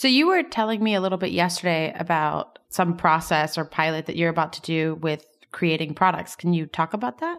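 A woman with an American accent talks at a fairly quick pace with hardly any pauses, her fairly low pitch showing ordinary variation in a plain, everyday voice. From US, Miami. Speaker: podcast co-host, startup co-founder. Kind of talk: interview. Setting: at a tech conference.

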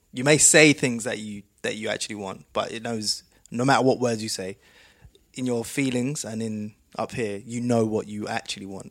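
On a very clean recording with a silent background, a man with an unremarkable speaking voice talks at a moderate pace and medium pitch, with fairly even intonation and big swings in loudness. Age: 30s. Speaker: podcast host and music producer. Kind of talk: casual interview conversation.

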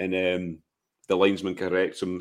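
Low in pitch, a man speaks at a moderate pace with monotone, flat intonation.

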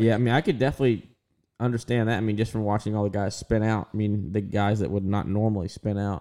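Speaking at a very fast pace, a man has a dark, mellow tone, a fairly low pitch and fairly even intonation. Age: 20s. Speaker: podcast co-host and NASCAR pit crew member. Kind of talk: casual chat.

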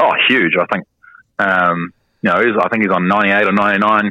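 Flat and monotone, a man speaks at a fairly low pitch with a New Zealand accent. The sound is dry and close with no echo. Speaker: professional cricketer. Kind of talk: radio interview.

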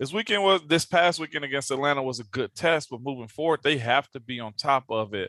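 A man with an unremarkable speaking voice, fairly high pitch and ordinary pitch variation, recorded dry and close with no echo. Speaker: former NFL offensive lineman, radio host. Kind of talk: casual chat.

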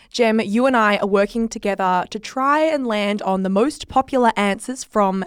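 A woman's fairly high voice in an Australian accent, with ordinary pitch variation, a moderate pace, and a very clean recording over a silent background. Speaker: podcast host. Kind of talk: casual chat. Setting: studio.

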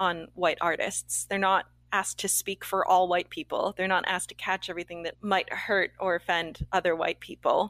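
A woman with a Canadian accent and medium pitch speaks at a moderate pace in an unremarkable speaking voice, captured in a very clean recording with a silent background. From Canada. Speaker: actor and TV creator. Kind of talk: interview.

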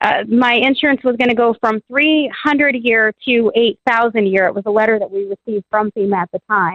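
An unremarkable speaking voice from a woman, fairly high in pitch, with ordinary pitch variation, a fairly quick pace and hardly any pauses. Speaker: caller. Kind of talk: call-in talk. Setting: phone call.

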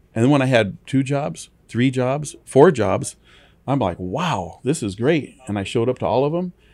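With an American accent, a man has an unremarkable speaking voice, medium in pitch with lively intonation, speaking at a moderate pace in a very clean recording with a silent background. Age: 60s. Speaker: towing company owner. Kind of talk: interview. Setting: studio.

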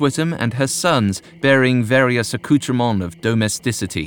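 A man's medium-pitched voice at a moderate pace, with lively intonation and a dramatic tone. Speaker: narrator. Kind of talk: scripted ghost story narration, read aloud. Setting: studio. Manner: dramatic, measured.

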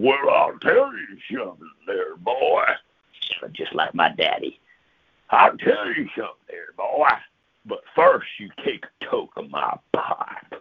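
This is a gruff, put-on character voice. It moves at a fairly slow pace. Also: man, extremely high pitch for a man. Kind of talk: folksy, talking down to a 'boy'.

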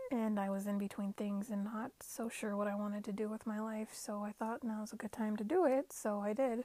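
A woman with an American accent speaks at a fairly quick pace, with hardly any pauses. Her voice is fairly high in pitch, with a dark, mellow tone and fairly even intonation. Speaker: podcast host. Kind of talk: casual self-help podcast monologue. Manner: chatty, self-correcting with fillers.

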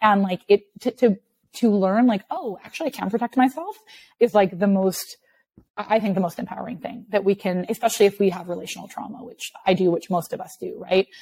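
At a fairly quick pace, a woman speaks at a medium pitch in a dark, mellow, somewhat breathy tone, her pitch varying in an ordinary way, her loudness swinging widely, and the sound dry and close with no echo. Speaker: therapist and executive coach. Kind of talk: casual interview conversation. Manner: fast talker.

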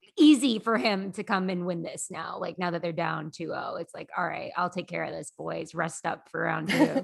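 In an unremarkable speaking voice with a fairly low pitch, a woman talks at a fairly quick pace against a quiet background. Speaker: hockey writer and podcast co-host. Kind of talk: casual chat.

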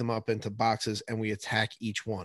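The speaker has an American accent and a moderate pace. The sound is dry and close with no echo, over a quiet background. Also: man. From New Jersey. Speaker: high school science teacher. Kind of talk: casual chat.

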